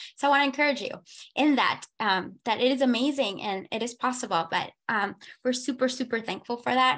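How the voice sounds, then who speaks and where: A woman with an animated tone, high pitch, lively intonation and a bright, sharp tone, in a Spanish accent. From Panama. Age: 20s. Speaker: foster parent. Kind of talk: testimony.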